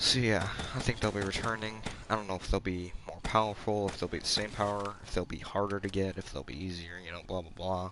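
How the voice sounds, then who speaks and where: Speaking quietly at a fairly quick pace, a man uses a fairly low pitch and fairly even intonation. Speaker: gaming streamer. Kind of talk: gameplay commentary.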